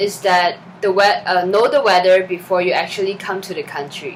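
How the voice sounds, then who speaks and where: A woman with a Chinese accent speaks at a moderate pace, her medium pitch carried by fairly even intonation. Noticeable background noise sits behind her. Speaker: student documentary director. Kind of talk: documentary reflection. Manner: halting, many fillers.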